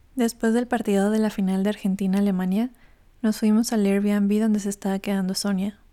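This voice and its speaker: A woman's dark, mellow, medium-pitched voice at a fairly quick pace, flat and monotone, very even in loudness, on a very clean recording with a silent background. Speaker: podcast host. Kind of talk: scripted narration.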